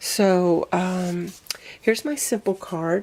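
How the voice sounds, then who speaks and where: The voice carries a Southern US accent and ordinary pitch variation. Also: woman. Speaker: craft video creator. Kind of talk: tutorial. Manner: casual, chatty.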